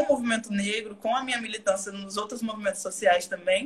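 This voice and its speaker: Her pitch moves in an ordinary way as the woman talks at a fairly quick pace. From Bahia, Brazil (southern Bahia coast). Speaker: actress and dancer. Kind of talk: casual live stream interview. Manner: talkative.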